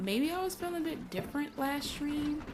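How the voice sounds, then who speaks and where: Music in the background along with audible room echo. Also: woman. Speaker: gaming streamer. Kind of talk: casual chat. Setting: live stream. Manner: slow, careful enunciation.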